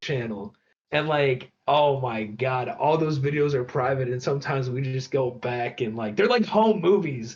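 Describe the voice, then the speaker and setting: Someone with an American accent talks at a moderate pace. The voice is somewhat breathy. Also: man. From Michigan, suburbs of Detroit. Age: 20s. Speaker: rapper. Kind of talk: casual chat.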